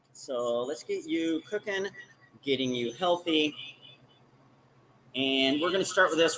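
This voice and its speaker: The speech moves at a moderate pace, with long, frequent pauses and ordinary pitch variation. Noticeable background noise is present. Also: man. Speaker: cooking show host. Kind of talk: live cooking demonstration. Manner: casual, with filler words.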